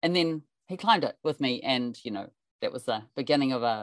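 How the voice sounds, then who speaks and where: A woman with a New Zealand accent, very deep and low in pitch, lively in intonation, at a moderate pace, in a dry, close sound with no echo. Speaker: climber and mountain guide. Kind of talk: interview storytelling. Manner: animated.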